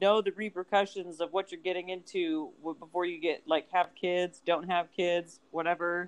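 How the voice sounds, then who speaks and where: A woman of medium pitch speaks at a moderate pace in a normal speaking voice. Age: 30s. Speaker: podcast co-host. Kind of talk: casual chat.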